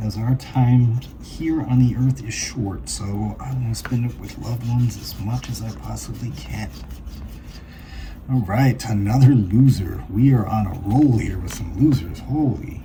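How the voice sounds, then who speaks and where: Mumbling at a fairly slow pace, a man with a medium pitch uses lively intonation and big swings in loudness, with audible room echo and noticeable background noise. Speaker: lottery scratch-off channel host. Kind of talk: casual commentary while scratching tickets.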